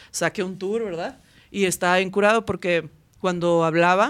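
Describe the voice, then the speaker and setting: Here is a woman with a normal speaking voice, pitched fairly low. Her intonation is fairly even and her pace moderate. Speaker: band singer. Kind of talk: casual chat.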